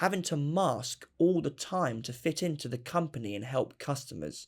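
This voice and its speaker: A man with an ordinary speaking voice talks at a moderate pace. His fairly high pitch rides on lively intonation. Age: 20s. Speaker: documentary interviewee. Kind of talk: personal testimony.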